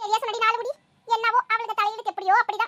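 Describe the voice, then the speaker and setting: A woman does a cartoonish character voice that is squeaky and extremely high-pitched. She talks fairly quickly in a monotone, flat intonation. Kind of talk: village comedy cartoon acting. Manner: chatty, knowing.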